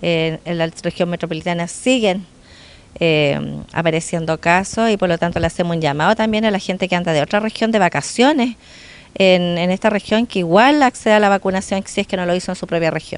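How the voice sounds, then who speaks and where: The sound is dry with no echo as a woman talks at a fairly quick pace with ordinary pitch variation. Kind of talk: interview answer. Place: street. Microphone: handheld.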